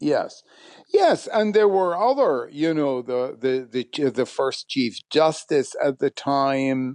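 In an Arabic accent, a man talks at a very slow pace with a fairly high pitch. The sound is dry and close with no echo, and the background is quiet. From Iraq, Baghdad. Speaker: history professor and author. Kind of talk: interview.

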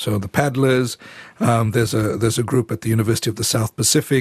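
Somewhat breathy speech with ordinary pitch variation, heard in a dry, close sound with no echo. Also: man. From Fiji. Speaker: church leader. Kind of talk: radio interview. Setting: studio. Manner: halting.

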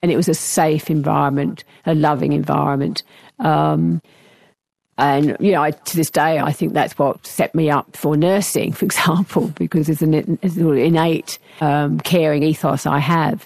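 On a very clean recording with a silent background and a dry, close sound with no echo, a woman speaks at a moderate pace in a very deep, low pitch with vocal fry, fairly even intonation and very even loudness. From England. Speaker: retired academic. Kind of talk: interview. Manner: halting, with many fillers.

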